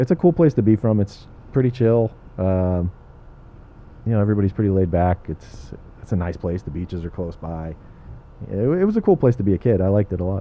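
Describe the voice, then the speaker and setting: Speaking very fast yet with long, frequent pauses, a man with an American accent uses a fairly low pitch and ordinary pitch variation. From Southern California (South Bay, Los Angeles). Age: 30s. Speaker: comedian and aerospace worker. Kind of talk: casual chat.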